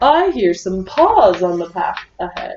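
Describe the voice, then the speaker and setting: Using a put-on character voice, a woman of medium pitch speaks at a fairly slow pace. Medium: read story.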